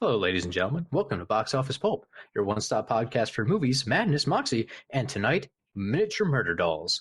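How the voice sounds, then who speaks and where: Somewhat breathy and fairly quick, a man talks at a medium pitch with very wide pitch swings. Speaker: podcast host. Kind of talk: casual podcast talk.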